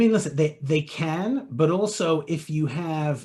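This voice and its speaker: With ordinary pitch variation and a fairly high pitch, a man talks in a somewhat breathy voice. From England. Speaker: web marketing expert. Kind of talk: webinar Q&A.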